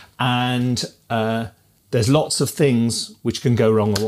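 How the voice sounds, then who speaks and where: A fairly slow pace marks this clip. The voice belongs to a man. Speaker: music educator. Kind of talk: casual tech review talk. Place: home room.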